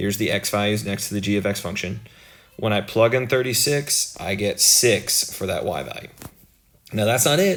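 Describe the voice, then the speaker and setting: A man speaks at a medium pitch with ordinary pitch variation. His voice is somewhat breathy, with audible room echo. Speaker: math teacher. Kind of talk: lecture.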